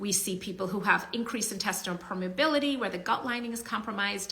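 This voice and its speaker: A woman speaks with audible room echo. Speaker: physician and author hosting a live Q&A. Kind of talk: live stream talk answering comments. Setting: outdoors in sunlight, live stream. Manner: conversational, with fillers.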